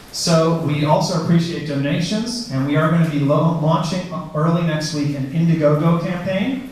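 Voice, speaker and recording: Audible room echo and noticeable background noise surround the speaker. He is a man with a fairly high voice and ordinary pitch variation. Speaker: arts organization representative. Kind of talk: public presentation. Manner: fast.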